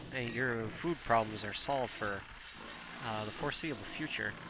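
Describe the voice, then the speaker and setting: Medium in pitch, a man speaks with fairly even intonation. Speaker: game shoutcaster. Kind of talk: live commentary. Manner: hesitant, many fillers; fast.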